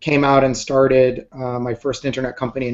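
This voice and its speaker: The speaker is a man with a fairly quick pace. He keeps his intonation flat and monotone. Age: 40s. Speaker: entrepreneur and photographer. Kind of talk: interview. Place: office. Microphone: webcam.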